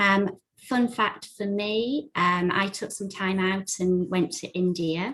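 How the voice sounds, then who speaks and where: A woman with an English accent at a very slow pace, medium pitch with ordinary variation, and hardly any pauses. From England. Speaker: recruitment and marketing specialist. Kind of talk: panel presentation.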